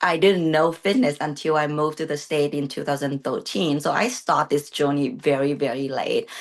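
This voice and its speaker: With hardly any pauses, a woman speaks at a very deep, low pitch. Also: ordinary pitch variation, moderate pace. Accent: Vietnamese. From Vietnam. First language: Vietnamese. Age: 30s. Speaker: bodybuilding competitor. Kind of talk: interview. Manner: halting.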